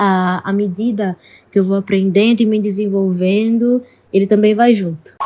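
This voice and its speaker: A woman speaks fairly slowly at a medium pitch, her dark, mellow tone somewhat breathy and her intonation monotone and flat. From Recife, Pernambuco, Brazil. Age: 20s. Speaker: psychologist and NGO founder. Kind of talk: interview testimony.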